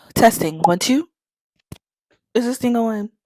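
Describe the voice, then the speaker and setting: A fairly high-pitched woman's voice in an animated tone, at a fairly slow pace, dry and close with no echo, with music in the background. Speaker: booktuber and vlogger. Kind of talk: casual vlog intro.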